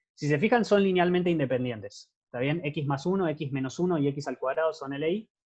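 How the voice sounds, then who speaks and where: A man's fairly high, somewhat breathy voice at a fairly quick pace. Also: ordinary pitch variation. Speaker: math teaching assistant. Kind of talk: lecture. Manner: fast.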